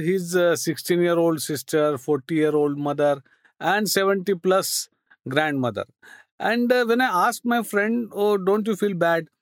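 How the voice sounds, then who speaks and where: The sound is dry and close with no echo as a man speaks at a high pitch. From India, Ahmednagar, Maharashtra. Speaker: NGO founder. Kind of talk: interview. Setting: radio station studio.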